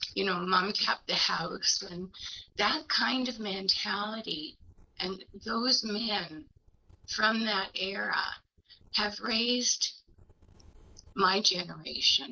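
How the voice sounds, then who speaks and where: A woman with a Canadian accent speaks at a very slow pace and medium pitch, with vocal fry and ordinary pitch variation. Her speech has long, frequent pauses. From Canada, Scarborough (Ontario). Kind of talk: round table discussion. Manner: halting.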